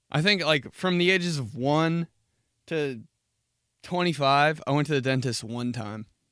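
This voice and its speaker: Long, frequent pauses break up this man's fairly high voice. His pitch variation is ordinary, and the recording is very clean with a silent background. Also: moderate pace. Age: 30s. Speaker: podcast host. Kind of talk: casual chat. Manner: animated.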